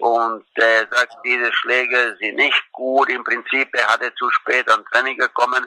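In a Croatian accent, a man speaks at a very slow pace. The sound is dry and close, with no echo. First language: Croatian (speaking German). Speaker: former tennis coach. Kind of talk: recorded tribute.

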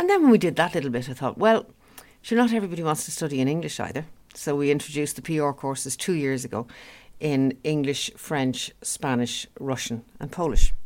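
A woman's very deep, low voice in a Dublin accent, fairly quick and with lively intonation. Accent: Dublin Irish. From Dublin, Ireland. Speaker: business owner. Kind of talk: interview.

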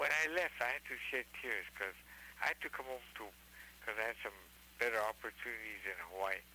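An unremarkable speaking voice belongs to a man of medium pitch. He moves at a fairly quick pace with ordinary pitch variation. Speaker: caller. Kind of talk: casual chat.

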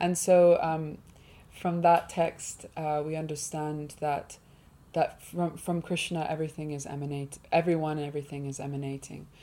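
With a southern English accent, a woman speaks in a very deep, low pitch and a dark, mellow tone, her intonation monotone and flat but her loudness swinging widely. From England, Hertfordshire. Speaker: musician and writer. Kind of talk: interview. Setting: studio.

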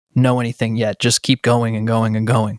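A man with an American accent talks at a moderate pace and medium pitch, in a very clean recording with a silent background and a dry, close sound with no echo. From Boston. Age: 20s. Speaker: hip-hop artist. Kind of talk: interview conversation. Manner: casual with many fillers.

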